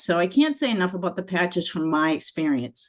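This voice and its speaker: The speaker's intonation is lively, set against a quiet background. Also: woman. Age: 60s. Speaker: dentist. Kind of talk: webinar testimony. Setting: video webinar. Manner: halting.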